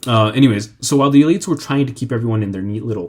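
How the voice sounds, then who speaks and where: A man's dark, mellow, somewhat breathy voice with lively intonation. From Mexican, raised in the United States. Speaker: history channel host. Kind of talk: informal history talk. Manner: halting, many fillers.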